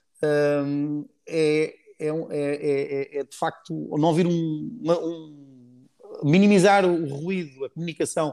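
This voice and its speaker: The man's voice has a dark, mellow tone. His pitch sits fairly high with ordinary variation. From Portugal, Cascais. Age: 50s. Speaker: former Olympic sailor, sailing project founder. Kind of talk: casual interview. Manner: hesitant, frequent repetitions.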